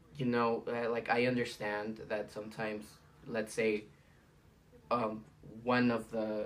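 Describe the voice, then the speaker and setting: Fairly slow speech in a Spanish accent, fairly even in intonation, with long, frequent pauses. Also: man, medium pitch for a man. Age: 20s. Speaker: student. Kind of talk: casual monologue for class assignment. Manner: casual, hesitant with fillers.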